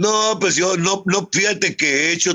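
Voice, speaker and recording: A man is speaking, with noticeable background noise in the recording. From Tijuana, Mexico. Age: 70s. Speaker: rock guitarist. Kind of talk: casual interview. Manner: animated, repetitive.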